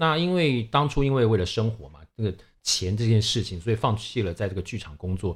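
A somewhat breathy man at a fairly quick pace, with very wide pitch swings, in a very clean recording with a silent background. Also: medium pitch for a man, big swings in loudness. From Taiwan (Taipei). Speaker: podcast co-host, events industry worker. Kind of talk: casual chat.

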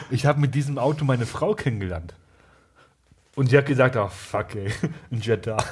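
Somewhat breathy speech with lively intonation is broken by long, frequent pauses. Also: man, medium pitch for a man, fairly quick pace. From eastern Germany. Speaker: podcast co-host. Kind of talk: casual chat.

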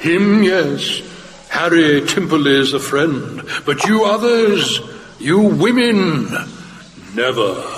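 In a put-on character voice pitched high, a man speaks very slowly, and a clear echo follows his words. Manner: gruff, blunt, speaks of himself by name.

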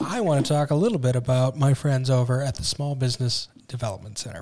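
Somewhat breathy, a man with an American accent talks at a fairly quick pace, his medium pitch showing ordinary variation. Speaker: podcast co-host, business owner. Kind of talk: casual chat. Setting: studio.

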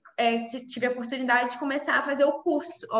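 A woman with a high pitch speaks, with audible room echo and noticeable background noise present. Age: 20s. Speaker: civil engineer. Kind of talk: interview. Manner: halting.

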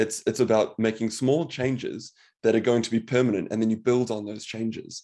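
A man with a New Zealand accent talks at a very fast pace in a dark, mellow tone. His pitch is medium, his intonation fairly even, and the background is quiet. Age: 30s. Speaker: medical doctor. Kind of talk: interview.

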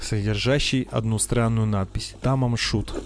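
Over noticeable background noise, a man speaks in a dramatic tone at a moderate pace with fairly even intonation. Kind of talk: true-crime narration. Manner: measured, dramatic storytelling pace; formal, polished, slightly ironic tone.

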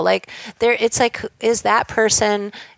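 A fairly high-pitched woman with an American accent is heard in a dry, close sound with no echo, though background noise is noticeable. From Southern California. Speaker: film and music video director. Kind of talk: casual interview chat.

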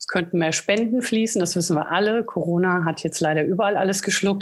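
Her voice is an unremarkable speaking voice, as a woman speaks at medium pitch with lively intonation. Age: 30s. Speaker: animal shelter volunteer. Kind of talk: interview.

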